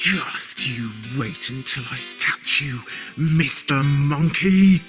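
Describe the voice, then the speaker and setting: A man speaks very slowly in a put-on character voice, pitched fairly high. Clear music plays in the background. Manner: growling, threatening.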